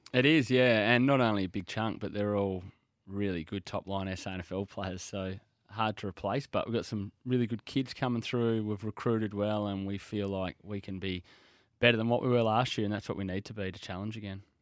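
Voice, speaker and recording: With an Australian accent, a man talks at a fairly quick pace and with fairly even intonation on a very clean recording with a silent background. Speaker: football coach. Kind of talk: radio interview. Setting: studio. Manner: laid back.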